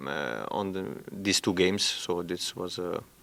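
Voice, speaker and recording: Speaking with a non-native accent, a man keeps his intonation monotone and flat. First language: not English. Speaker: football head coach. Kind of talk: press conference. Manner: halting, many hesitations.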